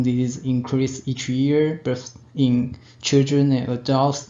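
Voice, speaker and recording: Audible room echo follows a man speaking at a medium pitch with a Taiwanese accent. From Taiwan (Tainan). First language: Chinese. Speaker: radiology technician. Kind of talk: conference presentation. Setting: webinar. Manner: halting.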